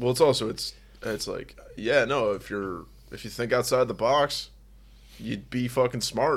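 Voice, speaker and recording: The recording is very clean, with a silent background. Fairly slow speech with vocal fry and long, frequent pauses. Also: man, medium pitch for a man, ordinary pitch variation. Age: 20s. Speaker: podcast co-host. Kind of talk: casual chat.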